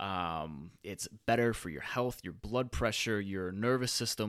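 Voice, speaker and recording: A man's fairly low-pitched voice, a normal speaking voice with ordinary pitch variation, on a very clean recording with a silent background. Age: 30s. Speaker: fitness podcast host. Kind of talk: solo podcast monologue. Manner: casual, filler-heavy.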